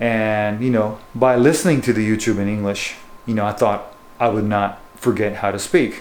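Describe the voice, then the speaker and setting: A man speaks fairly slowly in a space with audible room echo. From Japan and US; born in Japan, schooled in the US through high school. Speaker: bass fishing guide and lure maker. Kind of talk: casual vlog talk to camera. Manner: hesitant, many fillers like you know.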